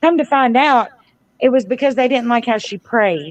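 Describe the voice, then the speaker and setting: Loud and at a fairly quick pace, a woman talks with a high pitch and ordinary pitch variation. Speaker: community advocate. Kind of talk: casual chat. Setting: livestream.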